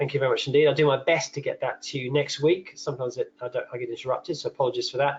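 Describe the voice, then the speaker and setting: A man with a fairly high pitch talks at a very fast pace with hardly any pauses, his somewhat breathy voice held in a monotone, flat intonation. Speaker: nutritional therapist presenting a webinar. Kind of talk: webinar lecture. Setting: online webinar.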